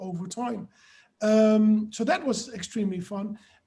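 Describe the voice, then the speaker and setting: In a Dutch accent, a man keeps his speech at a moderate pace. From Netherlands. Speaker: author. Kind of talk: webinar discussion.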